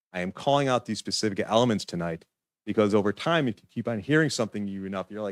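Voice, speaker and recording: A man speaks at a very fast pace, his pitch fairly low with ordinary pitch variation. The recording is very clean with a silent background and a dry, close sound with no echo. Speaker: applicant's attorney. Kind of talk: public hearing presentation. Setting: city commission meeting.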